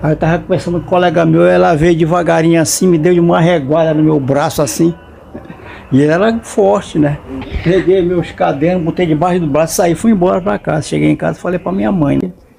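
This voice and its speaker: A man speaks at a fairly quick pace with noticeable background noise. His voice is fairly high, with ordinary pitch variation. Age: 80s+. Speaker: elderly interviewee. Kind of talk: interview. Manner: halting.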